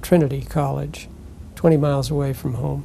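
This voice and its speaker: Over noticeable background noise, a man with an American accent talks at a fairly slow pace in a fairly high pitch. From US Northeast, Connecticut. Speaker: retired architect. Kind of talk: interview, life story. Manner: halting, many fillers.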